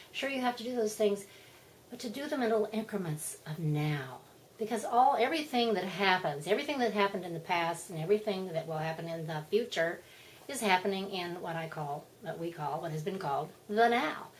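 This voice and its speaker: A woman talks at a medium pitch. Noticeable noise sits in the background. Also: lively intonation, fairly quick pace. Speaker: spiritual vlogger. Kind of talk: casual monologue. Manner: animated.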